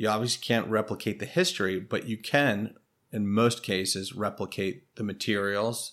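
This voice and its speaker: A man has an ordinary speaking voice, fairly low in pitch with fairly even intonation. He speaks at a moderate pace in a very clean recording with a silent background. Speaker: insurance appraiser. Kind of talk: interview.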